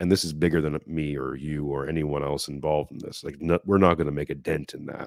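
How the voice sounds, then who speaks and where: A man with a Canadian accent speaks with a very deep, low pitch and vocal fry. His intonation is monotone and flat, with hardly any pauses. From Quebec, Montreal. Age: 40s. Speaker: podcast host. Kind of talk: casual chat.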